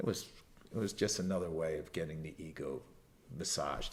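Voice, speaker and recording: Vocal fry runs through a man's speech, delivered at a fairly quick pace. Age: 60s. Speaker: entrepreneur and former athletic trainer. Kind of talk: podcast interview. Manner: animated.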